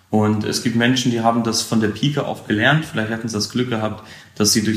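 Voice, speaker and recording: A man speaks at a medium pitch. Noticeable background noise and audible room echo fill the recording. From Lower Saxony, Weserbergland. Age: 30s. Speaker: financial advisor. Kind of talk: casual interview. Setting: home office video call.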